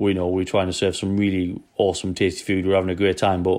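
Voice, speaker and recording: A man with a Geordie accent, fairly low pitch and fairly quick pace, against a quiet background. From Newcastle, northeast England. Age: 30s. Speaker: chef. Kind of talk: casual interview.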